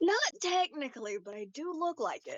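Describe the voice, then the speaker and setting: In a put-on character voice, a woman with an extremely high pitch speaks at a moderate pace with very wide pitch swings. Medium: actual play. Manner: deadpan.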